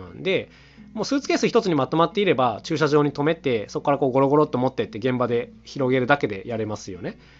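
Music plays in the background as a man speaks at a very fast pace. His fairly high voice swings very widely in pitch. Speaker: solo podcaster and instrument maker, household-goods music duo member. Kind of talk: solo monologue podcast. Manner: very fast talking; filler-heavy casual speech.

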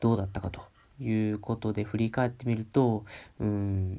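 A man's fairly low voice holds a monotone, flat intonation. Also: very clean recording, silent background. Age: 20s. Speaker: podcast host. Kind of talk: solo casual talk. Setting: at home, alone. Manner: polite, hesitant with fillers.

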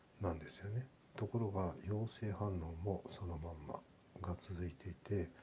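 A man speaks at a very deep, low pitch. He keeps a moderate pace and ordinary pitch variation. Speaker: podcaster. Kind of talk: personal update monologue. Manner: halting with many fillers.

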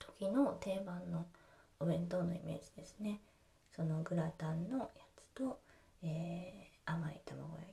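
A woman with a fairly low pitch and dark, mellow tone speaks at a fairly slow pace, her lively intonation marked by vocal fry and big swings in loudness. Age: 30s. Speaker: podcast host, housewife. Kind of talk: casual monologue. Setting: home kitchen. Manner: hesitant, many fillers.

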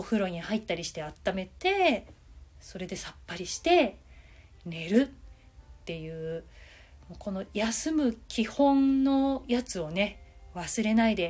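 A woman speaks very slowly in a relaxed, somewhat breathy tone. Her fairly high pitch swings very widely. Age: 40s. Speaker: manga artist and podcaster. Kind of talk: solo talk.

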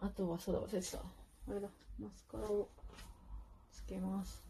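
Over noticeable background noise, a woman talks at a moderate pace with big swings in loudness and long, frequent pauses. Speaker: podcaster. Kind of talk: casual monologue while doing makeup. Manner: casual, chatty with laughter.

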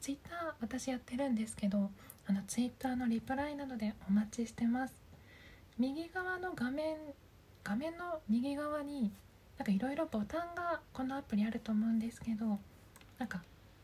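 Against noticeable background noise, a woman with a high pitch and lively intonation talks at a moderate pace, leaving long, frequent pauses. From Japan, Aichi Prefecture. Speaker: voice coach and podcast host. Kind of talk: casual solo talk. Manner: halting, stumbling over words.

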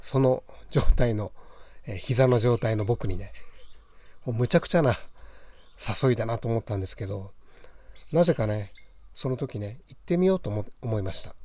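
A man with a medium pitch and a dark, mellow, somewhat breathy tone speaks at a moderate pace, his lively intonation marked by big swings in loudness and long, frequent pauses, on a very clean recording with a silent background. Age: middle-aged. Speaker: podcast host, yoga practitioner. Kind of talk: casual monologue. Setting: outdoors on a balcony.

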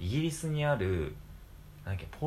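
The speaker is a man with a medium pitch. His pitch swings very widely. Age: 20s. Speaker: podcast co-host. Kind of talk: casual chat. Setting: home.

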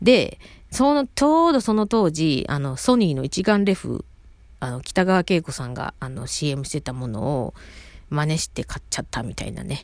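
With a Kansai accent, a woman speaks at a moderate pace in a very deep, low pitch, with very wide pitch swings and big swings in loudness, in a very clean recording with a silent background. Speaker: podcaster. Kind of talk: casual monologue. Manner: rambling, self-interrupting.

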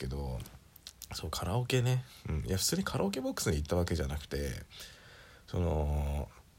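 With a very deep, low pitch and very wide pitch swings, a man talks at a fairly quick pace in a somewhat breathy voice. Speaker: solo podcaster. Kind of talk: casual monologue. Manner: casual, rambling with fillers.

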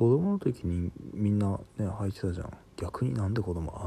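A somewhat breathy male voice with a dark, mellow tone. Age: 30s. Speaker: podcaster. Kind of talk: solo monologue. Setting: home recording late at night. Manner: casual, filler-heavy.

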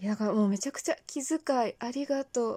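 A woman speaks with a dark, mellow tone at a fairly quick pace. The recording is very clean, with a silent background. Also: dry, close sound with no echo. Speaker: amateur talk radio podcaster. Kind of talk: casual solo monologue. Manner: animated.

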